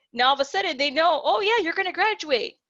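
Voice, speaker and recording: A woman talks at a very fast pace with lively intonation, her voice dry and close with no echo. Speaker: career counselor. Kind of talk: presentation.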